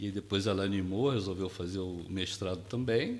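In a somewhat breathy voice, a man talks at a moderate pace. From Brazil, Rio de Janeiro. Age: 60s. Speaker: retired educator. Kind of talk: casual interview chat. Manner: calm, soft-spoken.

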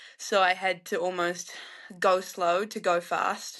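The background is quiet as a woman talks in a New Zealand accent. Her intonation is monotone and flat. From New Zealand, North Island. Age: 20s. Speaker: professional alpine skier. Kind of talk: casual interview.

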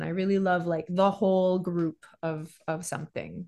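With a Montreal accent, a woman speaks at a moderate pace in a medium pitch. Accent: Montreal English Canadian. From Montreal, Quebec. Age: 40s. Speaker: voice actress and voice director. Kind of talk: casual interview chat.

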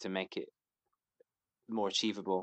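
This man has a British accent. He speaks at a fairly quick pace. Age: 30s. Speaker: crossdresser. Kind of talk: casual chat.

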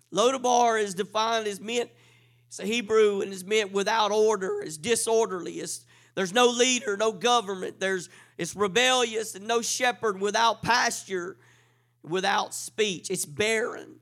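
Music plays in the background as the voice, animated in tone, moves at a moderate pace with big swings in loudness. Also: man, high pitch for a man. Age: 40s. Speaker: preacher. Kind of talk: sermon. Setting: church.

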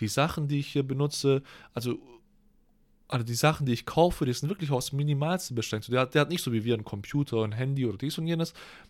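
On a very clean recording with a silent background, a man speaks very fast. His pitch is fairly high, with ordinary pitch variation. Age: 20s. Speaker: podcast co-host, university student. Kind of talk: casual chat.

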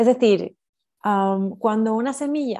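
A woman's fairly high-pitched voice with a dark, mellow tone, over a quiet background. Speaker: spiritual mentor. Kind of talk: interview.

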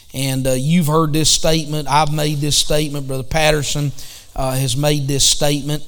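A man speaks with a Southern US accent in a fairly high pitch. His intonation is monotone and flat, and the room echo is audible. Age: 50s. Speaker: pastor. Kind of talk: bible study.

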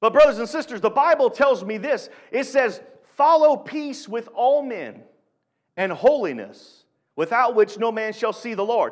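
A man speaks with an extremely high pitch. The recording is very clean, with a silent background. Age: 40s. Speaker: guest preacher filling in for the pastor. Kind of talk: sermon. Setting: church service. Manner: animated, call-and-response exclamations.

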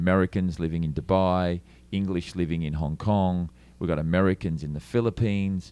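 On a very clean recording with a silent background, a man speaks at a moderate pace in a very deep, low pitch, with a dark, mellow tone and fairly even intonation. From Australia, Melbourne. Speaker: lighting and LED screen business owner. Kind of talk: interview. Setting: trade show.

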